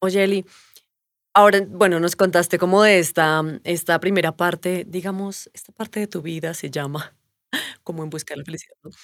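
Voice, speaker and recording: A woman with an unremarkable speaking voice talks at a moderate pace, fairly low in pitch with fairly even intonation and big swings in loudness, in a dry, close sound with no echo. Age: 30s. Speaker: stand-in co-host. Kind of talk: casual chat.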